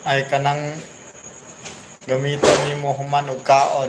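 Through noticeable background noise and audible room echo, a man with a fairly high pitch speaks at a fairly slow pace in a flat monotone. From Mindanao, Philippines (Bisaya). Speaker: vlogger. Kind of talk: livestream shout-outs. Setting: live stream.

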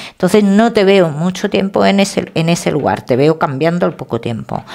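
A woman at a fairly low pitch and fairly slow pace against a quiet background. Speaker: tarot reader. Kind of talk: tarot reading to camera. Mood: warm, reassuring. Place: home room. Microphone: headset.

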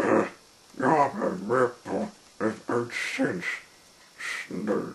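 Natural-voiced reading aloud

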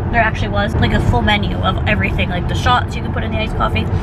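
Over loud background noise, a woman talks at a very fast pace. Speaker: vlogger. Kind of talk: casual vlog chat. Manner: stiff, restricted jaw after surgery.

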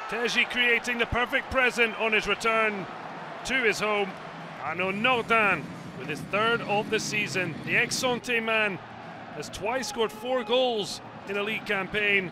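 A man's raised, projected voice, high in pitch, at a fairly slow pace with ordinary pitch variation and music in the background. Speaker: football highlights commentator. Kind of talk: scripted highlights voice-over narration, post-match recap read over match footage. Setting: studio voice-over. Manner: brisk, punchy clipped phrasing, dropping verbs like a headline; rising excitement at late drama and goals.

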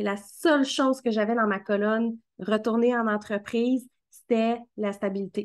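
Against a quiet background, a woman with a fairly high pitch speaks at a fairly slow pace with fairly even intonation. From Quebec. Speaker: marketing coach and podcast host; marketing coach, podcast host. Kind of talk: casual interview. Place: home room. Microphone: video call.

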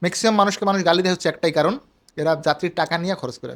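A man with a high pitch and fairly even intonation. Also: very clean recording, silent background. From rural Bangladesh. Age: 20s. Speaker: visa agency owner, video host. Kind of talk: advisory talk to camera.

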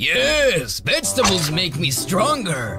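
A cartoonish character voice at middle pitch and a fairly slow pace, over clear background noise. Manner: boastful, then suspicious and scared.

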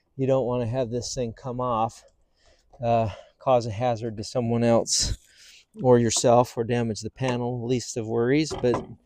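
This man has a dark, mellow tone and a monotone, flat intonation. He talks at a moderate pace, and the sound is dry with no echo. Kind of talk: tutorial. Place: street.

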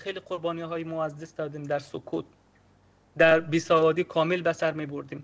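A man with a high pitch talks at a fairly quick pace, his loudness swinging widely. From Afghanistan. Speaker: LGBTQ rights activist; remote guest. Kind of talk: speech. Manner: impassioned. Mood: earnest, somber. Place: home room. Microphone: video call.

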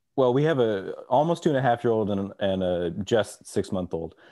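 Over a quiet background, a man talks at a fairly slow pace with very wide pitch swings. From Texas. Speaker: orchestral clarinetist; podcast guest or host. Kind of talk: casual chat. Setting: video call. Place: home room. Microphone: video call.

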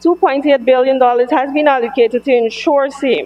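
A woman with a Guyanese accent and a high pitch, at a moderate pace, with music in the background. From Guyana. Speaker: government member of parliament. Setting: parliament chamber. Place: hall. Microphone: podium.

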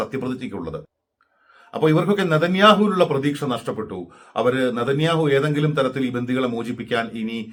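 Lively intonation marks a man's plain, everyday voice at medium pitch. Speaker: news commentator. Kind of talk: news commentary monologue.

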